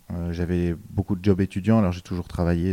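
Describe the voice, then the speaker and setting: The voice has a dark, mellow tone and monotone, flat intonation, with a dry, close sound and no echo. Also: man. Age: 20s. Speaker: drama student and actor, former radio host. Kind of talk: podcast interview.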